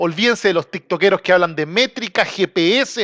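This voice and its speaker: With a Chilean accent, a man speaks with ordinary pitch variation in a dry, close sound with no echo against a quiet background. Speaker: football commentator, channel host. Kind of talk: casual monologue. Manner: informal, slangy.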